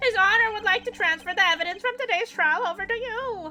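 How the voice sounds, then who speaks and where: Music plays behind a woman putting on a squeaky character voice at an extremely high pitch, talking at a very fast pace with ordinary pitch variation. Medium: game stream. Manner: polite, eager.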